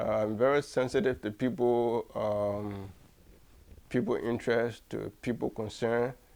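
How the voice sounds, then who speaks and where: This man has a West African accent. He speaks at a fairly slow pace with fairly even intonation. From Liberia. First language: Mandingo. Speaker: writer and cultural activist. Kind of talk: interview.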